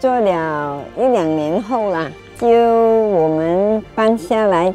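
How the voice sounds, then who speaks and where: Over music in the background, a woman speaks very slowly at a medium pitch with lively intonation. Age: 70s. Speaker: Chinese medicine practitioner. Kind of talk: interview answer.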